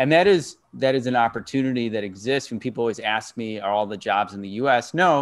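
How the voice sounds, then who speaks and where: A man talking very fast with ordinary pitch variation, on a very clean recording with a silent background. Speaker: career coach. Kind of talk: interview questions.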